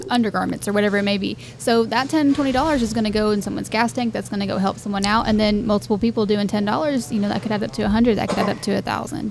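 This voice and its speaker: A woman's very fast, medium-pitched speech with ordinary pitch variation, hardly any pauses, and noticeable background noise. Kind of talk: casual interview chat. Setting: on location at venue.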